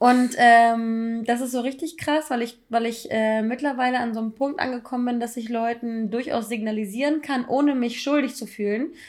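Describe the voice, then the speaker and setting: A woman talks at a moderate pace with hardly any pauses. Her voice is high-pitched and her intonation fairly even. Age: 30s. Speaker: podcast co-host. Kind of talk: casual chat.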